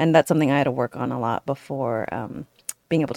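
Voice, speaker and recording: With lively intonation and vocal fry, a woman speaks at a fairly quick pace in a very deep, low pitch. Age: 40s. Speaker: podcast host and relationship author. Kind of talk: casual interview chat; scripted outro.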